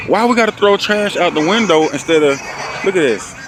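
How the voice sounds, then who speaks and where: A man with an American accent speaks at a moderate pace. Noticeable background noise runs underneath. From Georgia, Atlanta area. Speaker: landscaper and video creator. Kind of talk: vlog monologue. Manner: animated.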